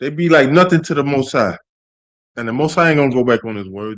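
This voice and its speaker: This man's intonation is lively, and the background is quiet. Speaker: street preacher / religious teacher. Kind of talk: sermon-style teaching on a livestream.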